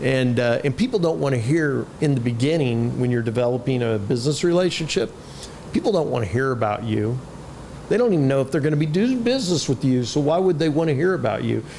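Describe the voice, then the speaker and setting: Over noticeable background noise, a man talks at a very fast pace at medium pitch, with lively intonation and very even loudness. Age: 50s. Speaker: sales trainer and author. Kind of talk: podcast interview. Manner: casual, with many fillers and repetitions.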